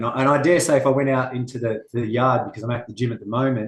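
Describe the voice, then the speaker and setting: In a strong Australian accent, the voice races along at a very fast pace, somewhat breathy and with fairly even intonation. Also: man. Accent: Australian, very noticeable. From Australia, Western Sydney. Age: 40s. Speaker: martial arts instructor. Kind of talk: interview. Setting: at a gym, remote interview.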